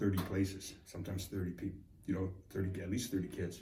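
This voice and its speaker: A man with a very deep, low pitch, a dark, mellow tone, a somewhat breathy sound, and a moderate pace. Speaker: client. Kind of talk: casual interview.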